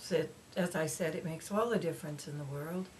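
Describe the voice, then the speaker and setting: A woman talks at a moderate speed with normal pitch movement while background noise is clearly audible. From Alaska (Cordova). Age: 70s. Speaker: foster grandparent, museum volunteer. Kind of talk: interview.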